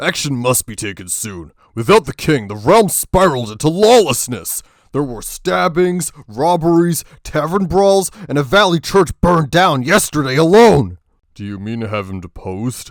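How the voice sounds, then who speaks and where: Doing a put-on character voice, a man pitches himself fairly high with very wide pitch swings. His loudness also swings widely. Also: moderate pace. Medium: audio drama. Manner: sharp, sarcastic.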